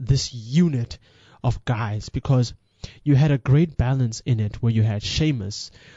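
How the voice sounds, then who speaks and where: A man with a medium-pitched, somewhat breathy voice speaks with ordinary pitch variation. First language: not English. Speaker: wrestling podcast host. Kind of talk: casual monologue commentary. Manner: halting, self-correcting.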